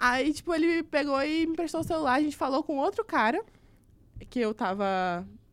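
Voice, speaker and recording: A woman speaks in a high, animated voice. Her pitch swings very widely. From Brazil, Pará (Altamira). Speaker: journalism student. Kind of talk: casual chat.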